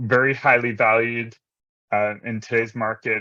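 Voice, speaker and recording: At a moderate pace and medium pitch, a man talks in a normal speaking voice. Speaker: investment startup founder. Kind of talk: startup pitch.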